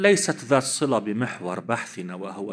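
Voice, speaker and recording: A man's fairly slow speech with very wide pitch swings. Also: quiet background. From Lebanon. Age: 50s. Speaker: cleric and seminary teacher; seminary teacher. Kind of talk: religious lecture. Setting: conference with audience. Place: hall. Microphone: podium.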